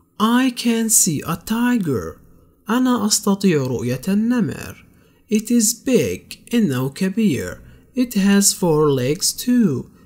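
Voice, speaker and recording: Speaking at a very slow pace with a Palestinian accent, a man uses a high pitch that makes very wide swings. The recording is very clean, with a silent background. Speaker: English tutor. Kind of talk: tutorial.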